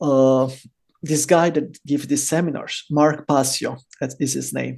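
Speaking fairly slowly in an Italian accent, a man uses a fairly high, dark and mellow voice with monotone, flat intonation. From Italy, Rome. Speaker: bitcoin podcaster and entrepreneur. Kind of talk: interview conversation.

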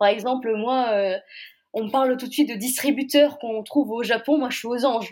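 Fairly high-pitched, a woman talks with intonation that stays fairly even. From Brittany, Saint-Malo. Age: young. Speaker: novelist. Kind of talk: interview. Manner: hesitant.

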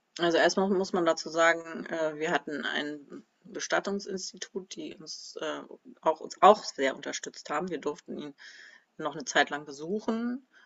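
With an unremarkable speaking voice, a woman talks at a moderate pace and fairly low pitch, showing ordinary pitch variation and big swings in loudness. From northern Germany, Kiel. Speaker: former music teacher. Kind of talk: interview about personal grief.

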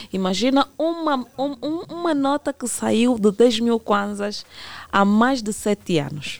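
A woman's fairly high voice with very wide pitch swings, at a very slow pace, in a dry, close sound with no echo. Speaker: consumer rights legal expert. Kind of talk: radio interview.

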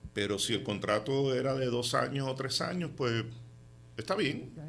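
Room echo is audible here. The man's voice sits at a medium pitch. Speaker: real estate developer. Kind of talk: radio interview.

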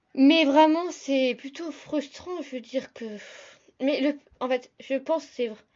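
A woman with a high pitch speaks very slowly, leaving long, frequent pauses, her intonation fairly even but her loudness swinging widely. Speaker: podcaster. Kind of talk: casual solo podcast talk.

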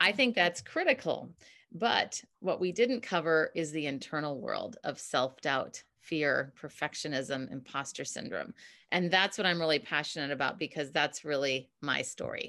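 A woman's very deep, low-pitched voice with a bright, sharp tone, lively intonation and an American accent, at a moderate pace over a quiet background. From US Midwest, Minneapolis. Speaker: communication coach. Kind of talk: casual interview chat. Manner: laughs often.

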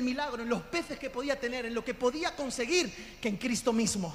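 A man speaks at an extremely high pitch with a fairly quick pace and an animated tone, though his pitch variation is ordinary. Audible room echo and noticeable background noise surround him. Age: 40s. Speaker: pastor. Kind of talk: sermon. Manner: loud.

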